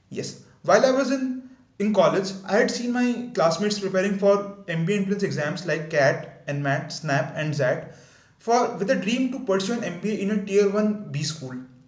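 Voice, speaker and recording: Over noticeable background noise and audible room echo, a man speaks at a moderate pace in a high pitch with lively intonation. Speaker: YouTuber. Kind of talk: unscripted video introduction. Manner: halting, stuttering at times.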